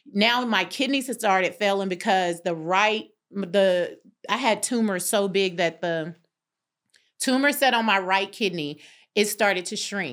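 In a Southern US accent, a woman speaks at a moderate pace and medium pitch with ordinary pitch variation, on a very clean recording with a silent background. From North Carolina. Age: 50s. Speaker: interior designer and life coach. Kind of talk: casual interview. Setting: studio.

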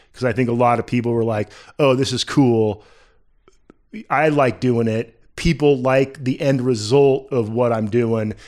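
In an unremarkable speaking voice, a man talks at a medium pitch and a fairly slow pace with fairly even intonation. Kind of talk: casual chat. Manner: relaxed, conversational.

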